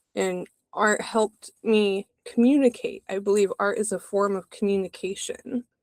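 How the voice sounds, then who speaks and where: At a moderate pace, a woman talks in a medium pitch with a dry, close sound and no echo. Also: fairly even intonation. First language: American Sign Language. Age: adult. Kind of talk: interview.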